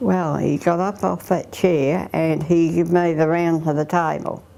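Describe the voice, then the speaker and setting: A woman with an Australian accent talks at a fairly slow pace. Her tone is dark and mellow, with ordinary pitch variation. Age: 80s+. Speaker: aging mother and carer. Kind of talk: interview testimony.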